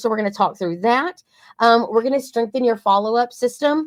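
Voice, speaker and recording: Speaking at a fairly quick pace with a strong Southern US accent, the voice shows ordinary pitch variation. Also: woman. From East Texas. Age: 40s. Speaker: marketing agency co-owner. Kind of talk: webinar presentation. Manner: animated.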